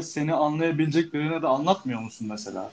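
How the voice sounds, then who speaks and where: Lively in intonation, this man has a normal speaking voice with a fairly high pitch. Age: 20s. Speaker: podcast co-host, photography student. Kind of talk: casual chat.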